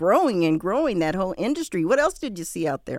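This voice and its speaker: A woman speaks at a medium pitch with very wide pitch swings. The recording is very clean, with a silent background. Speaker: radio host. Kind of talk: casual chat. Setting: studio.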